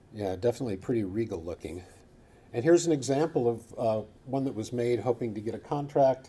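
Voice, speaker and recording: Very fast and somewhat breathy, a man speaks with a Midwestern American accent. His tone is dark and mellow, with ordinary pitch variation. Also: medium pitch for a man. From Michigan. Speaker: coin researcher. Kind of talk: lecture.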